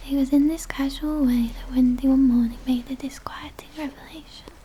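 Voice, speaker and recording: The speaker is soft-spoken, with monotone, flat intonation. Noticeable background noise runs underneath. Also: woman. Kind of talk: audiobook-style reading of a children's novel. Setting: close-up ASMR recording with page turning.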